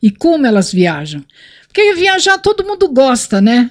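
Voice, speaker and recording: The woman's voice is high and moves through very wide pitch swings. She speaks at a fairly slow pace. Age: 60s. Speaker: motorcyclist. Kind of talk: casual chat.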